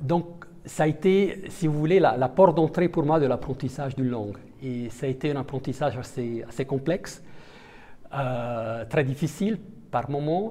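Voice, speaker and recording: A man with an Italian accent, fairly high in pitch, dark and mellow in tone, at a fairly slow pace. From Italian-speaking Switzerland. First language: Italian (speaking French). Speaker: diplomat. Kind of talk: interview. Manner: halting, many hesitations.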